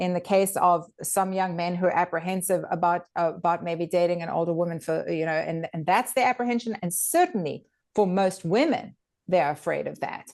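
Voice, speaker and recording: In an ordinary speaking voice, a woman with a fairly low pitch talks at a fairly quick pace with ordinary pitch variation, over a quiet background. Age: 50s. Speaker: dating coach and channel host. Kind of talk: casual chat.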